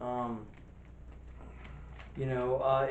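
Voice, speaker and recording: A man's very slow, monotone, flat delivery at medium pitch, with audible room echo and noticeable background noise. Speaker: wrestling podcast co-host. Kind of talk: casual chat. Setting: empty room, no audience.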